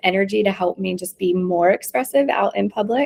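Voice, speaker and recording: A woman speaks in a plain, everyday voice at a medium pitch and fairly quick pace. The sound is dry and close, with no echo. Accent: American. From US South, North Carolina. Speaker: intuitive reader. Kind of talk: casual chat.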